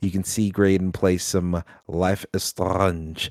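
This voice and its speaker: In a very clean recording with a silent background, a man with a very deep, low voice sounds animated, and the sound is dry and close with no echo. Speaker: podcast host. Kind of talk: casual chat. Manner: animated, joking.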